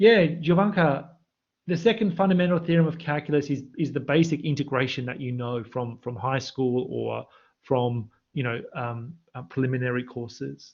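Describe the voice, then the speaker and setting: At a moderate pace, a man talks in a fairly high pitch with lively intonation and a somewhat breathy voice. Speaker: university maths lecturer. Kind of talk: online live lecture with chat Q&A. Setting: livestream with online chat. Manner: excited, animated.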